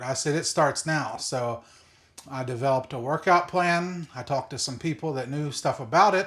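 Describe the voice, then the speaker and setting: A man with a plain, everyday voice, fairly high in pitch with ordinary pitch variation, at a moderate pace in a very clean recording with a silent background. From West Virginia (Greenbrier County). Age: 40s. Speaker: content creator documenting weight loss. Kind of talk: casual vlog monologue. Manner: unscripted, with fillers and restarts.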